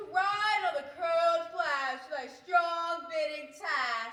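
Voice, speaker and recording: Delivered at a very slow pace, this put-on character voice sits at an extremely high pitch, with light background noise and a slight echo. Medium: stage play.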